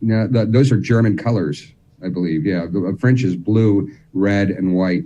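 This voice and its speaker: In an American accent, this voice has a dark, mellow tone and lively intonation. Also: man. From New Jersey. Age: 50s. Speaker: militaria expert. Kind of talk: casual chat.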